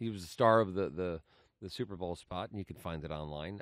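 Very deep and low, this man's voice has ordinary pitch variation. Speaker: podcast host. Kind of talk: casual interview chat. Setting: conference, recorded at Cannes.

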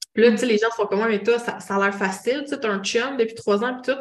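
In a Quebec accent, a woman speaks with fairly even intonation. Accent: Québécois French. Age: 30s. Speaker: clairvoyant and holistic therapist. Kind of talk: casual interview chat.

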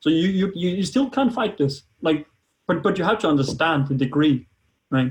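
A man speaks with a Danish accent. His voice sits at a high pitch. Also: moderate pace. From Denmark. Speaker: biohacking enthusiast. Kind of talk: interview. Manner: halting.

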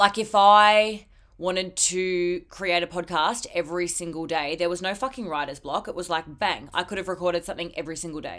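In a very clean recording with a silent background, a woman with a fairly low pitch sounds animated, talking at a fairly quick pace with ordinary pitch variation. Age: 20s. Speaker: podcast host. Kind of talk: solo pep talk, casual and confessional. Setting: cupboard at work, recording alone. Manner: emotional, heartfelt, swearing casually.

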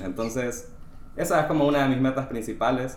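Fairly even in intonation, a man speaks at a fairly quick pace with audible room echo. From Honduras. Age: 20s. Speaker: podcast guest, software graduate. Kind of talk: casual chat. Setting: recorded outside the studio.

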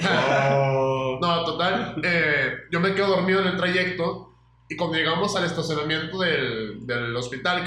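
Noticeable background noise and audible room echo accompany a man speaking at a fairly slow pace with ordinary pitch variation. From Mexico, Aguascalientes. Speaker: podcast co-host. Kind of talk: casual chat.

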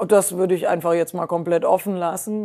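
Her voice, a woman's, has a dark, mellow tone. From Germany, Rhineland. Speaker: tech innovation executive. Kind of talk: interview. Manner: many filler sounds (ähm).

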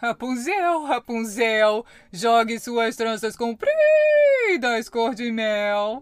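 A put-on character voice, female-sounding, drawls along at a very slow pace. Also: fairly high pitch for a woman. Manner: imitating, coaxing.

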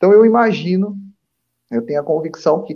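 A man talking at a fairly quick pace. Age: 30s. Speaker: spiritist commentator. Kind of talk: religious study discussion.

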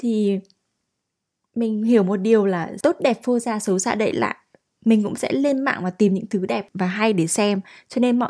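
Speaking at a medium pitch with a dark, mellow tone, a woman moves at a fairly quick pace with ordinary pitch variation on a very clean recording over a silent background. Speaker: podcast host. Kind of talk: solo podcast monologue.

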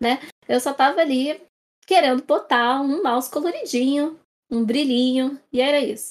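This woman's voice is high, and her pitch varies in an ordinary way. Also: moderate pace. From Brazil, Rio de Janeiro. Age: 20s. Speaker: information security professional. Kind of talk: casual panel discussion.

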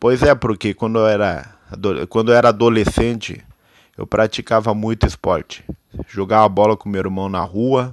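In a dry, close sound with no echo, a man speaks at a moderate pace and a fairly low pitch, with fairly even intonation and long, frequent pauses. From Brazil, interior of São Paulo state. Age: 20s. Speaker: amateur podcaster. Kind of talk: personal monologue. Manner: halting.

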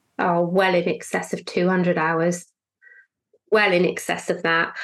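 A woman with a British accent. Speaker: financial planner. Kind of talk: interview, conversational.

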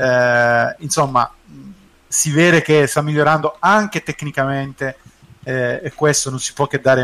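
Using a plain, everyday voice, a man talks fairly slowly at a fairly high pitch with fairly even intonation. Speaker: co-host, football commentator. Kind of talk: casual chat, football discussion.

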